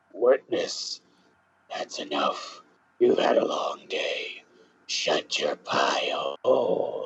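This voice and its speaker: Raspy and menacing, a man puts on a character voice at an extremely high pitch. He speaks at a very slow pace. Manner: menacing, growly.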